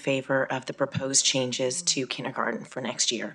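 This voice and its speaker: A woman talks at a fairly quick pace in a very deep, low pitch. Noticeable background noise is present. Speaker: parent giving public comment. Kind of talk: public comment speech. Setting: school board meeting. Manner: formal.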